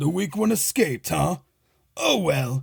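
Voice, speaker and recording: A man's put-on character voice, fairly high-pitched, with lively intonation at a moderate pace. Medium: read story. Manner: smug, mocking.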